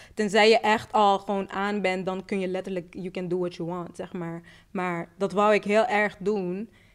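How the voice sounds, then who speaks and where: Speaking at a moderate pace, a woman uses a medium pitch. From Netherlands, Rotterdam. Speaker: musician. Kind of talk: casual chat. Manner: animated.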